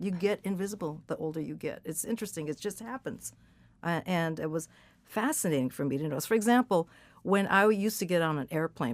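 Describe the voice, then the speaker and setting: With an American accent, a woman speaks at a fairly quick pace and a fairly low pitch with lively intonation, on a very clean recording with a silent background. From California. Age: 60s. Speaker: rock musician. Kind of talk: interview. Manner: hesitant.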